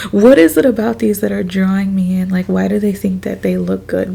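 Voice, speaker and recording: A woman talks at a moderate pace. Noticeable background noise runs beneath her. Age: 20s. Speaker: beauty youtuber. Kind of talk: casual chat. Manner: casual, filler-heavy.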